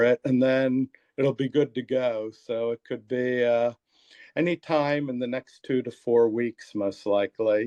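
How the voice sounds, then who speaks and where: A man with an American accent and medium pitch speaks at a fairly slow pace with ordinary pitch variation, the sound dry and close with no echo. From US Northeast (Pennsylvania, Montgomery County). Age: 60s. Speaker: therapist and author. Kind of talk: interview. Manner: halting, many fillers and repeats.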